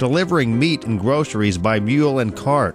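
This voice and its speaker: A man talks fairly quickly with music in the background. His voice sits at a medium pitch and varies in an ordinary way. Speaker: local TV show host. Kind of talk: TV segment narration.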